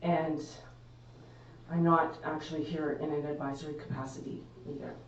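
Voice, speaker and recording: A woman talks at a very deep, low pitch with fairly even intonation. Noticeable background noise and audible room echo surround her voice. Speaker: municipal administrator. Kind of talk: formal address at council meeting. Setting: council chamber, live stream. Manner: loud.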